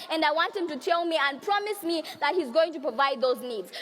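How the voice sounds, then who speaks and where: A woman with an extremely high pitch speaks in a raised, projected voice at a fairly quick pace. Her bright, sharp tone is passionate, with lively intonation. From Zambia. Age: young. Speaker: youth and women's rights activist. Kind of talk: conference speech. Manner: passionate, forceful.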